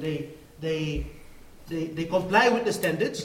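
A man talks at a moderate pace, his pitch varying in an ordinary way. Noticeable background noise can be heard throughout. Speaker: coffee extension officer. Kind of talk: conference presentation. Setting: conference stage with audience. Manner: halting with repetitions.

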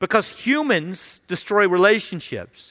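In a raised, projected voice with a bright, sharp tone, a man speaks fairly slowly on a very clean recording with a silent background. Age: 50s. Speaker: senior pastor. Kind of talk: sermon. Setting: church.

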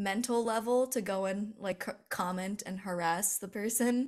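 Here a woman has an ordinary speaking voice and a fairly high pitch. She talks with an American accent at a moderate pace. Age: 20s. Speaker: commentary YouTuber. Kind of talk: casual chat interview.

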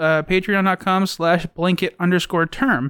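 A high-pitched man is heard on a very clean recording with a silent background and a dry, close sound with no echo. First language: Navajo. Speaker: podcast host. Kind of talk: casual chat.

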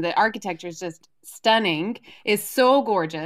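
A woman's fairly high voice is captured on a very clean recording against a silent background. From Alabama. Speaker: journalist and children's book author. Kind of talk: interview.

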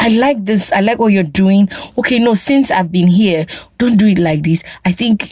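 In a Nigerian accent, a woman speaks at a medium pitch with ordinary pitch variation. Her loudness stays very even. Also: moderate pace. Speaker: guest on immigration topics. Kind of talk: casual chat.

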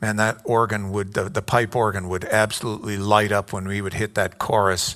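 Moderate pace, delivered in a monotone with flat intonation. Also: man. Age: 60s. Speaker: pastor. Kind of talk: sermon.

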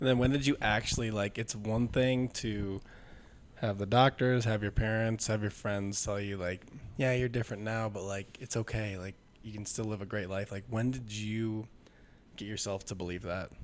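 A man's normal speaking voice, fairly low in pitch, with fairly even intonation at a moderate pace. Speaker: podcast host and gym coach. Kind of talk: casual chat; scripted intro.

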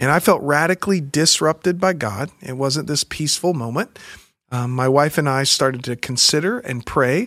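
A normal speaking voice with an American accent and lively intonation, at a moderate pace, in a dry, close sound with no echo on a very clean recording with a silent background. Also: man, fairly high pitch for a man. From US South, Pensacola Florida and small-town Alabama. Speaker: pastor. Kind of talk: interview conversation.

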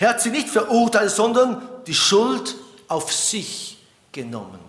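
Speaking at a very slow pace with lively intonation, a man is heard amid noticeable background noise and audible room echo. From Switzerland. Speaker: preacher. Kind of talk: sermon.

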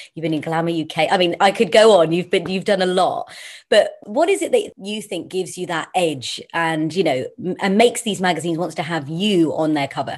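A woman with an unremarkable speaking voice talks at a fairly quick pace in a fairly low pitch, with ordinary pitch variation, hardly any pauses, and a quiet background. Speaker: interviewer.

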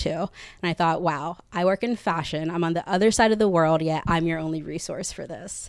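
A woman with an American accent and an ordinary speaking voice talks at a fairly low pitch on a very clean recording with a silent background. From Texas, Katy. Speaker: peer support group founder. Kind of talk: personal story before live audience. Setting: apartment with live audience.

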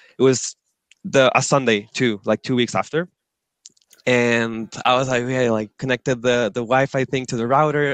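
A man speaks at a moderate pace and medium pitch in a Spanish accent. The sound is dry and close with no echo, and the background is quiet. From northern Chile, Antofagasta. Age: 20s. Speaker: management consultant. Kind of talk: interview.

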